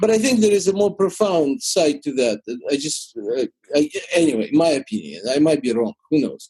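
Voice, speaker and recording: Using very wide pitch swings and a fairly high pitch, a man with a Russian accent speaks at a moderate pace in a dry, close sound with no echo. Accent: Russian-speaking. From Ukraine. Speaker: YouTuber. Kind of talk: interview answer.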